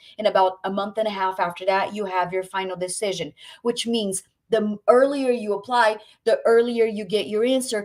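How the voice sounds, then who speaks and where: A woman speaks at a moderate pace with ordinary pitch variation in a plain, everyday voice. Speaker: medical school admissions representative. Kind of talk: webinar presentation.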